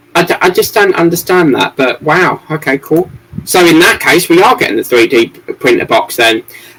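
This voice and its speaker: With an English accent and lively intonation, a man speaks at a high pitch and very even loudness over noticeable background noise. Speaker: model-building livestreamer. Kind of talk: casual livestream chat. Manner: fast, muddled speech.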